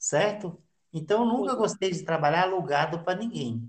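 His voice sits high in pitch, moving at a moderate pace. This man's intonation stays lively throughout. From Brasília. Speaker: experienced backpacker, podcast host. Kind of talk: casual interview.

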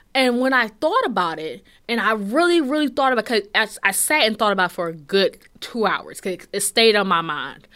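Recorded very cleanly against a silent background, a woman with a fairly high pitch speaks at a fairly quick pace in an animated tone, her pitch swinging very widely. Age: 20s. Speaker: podcast host. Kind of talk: casual monologue.

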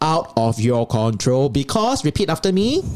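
A man with an unremarkable speaking voice, fairly high pitch, fairly quick pace, and dry, close sound with no echo. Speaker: podcast co-host. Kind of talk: casual chat.

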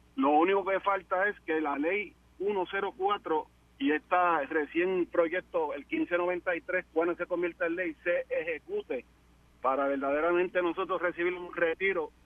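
This man's high pitch carries ordinary pitch variation as he talks at a moderate pace. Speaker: police officer, caller. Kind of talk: call-in radio talk.

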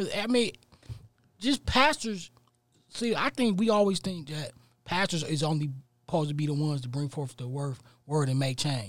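Lively intonation at a moderate pace, broken by long, frequent pauses. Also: man, fairly high pitch for a man. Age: 30s. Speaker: podcast panelist. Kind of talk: casual chat.

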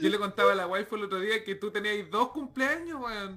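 A man is speaking. He has a Chilean accent. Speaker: podcast host. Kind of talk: casual chat. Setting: studio. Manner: soothing.

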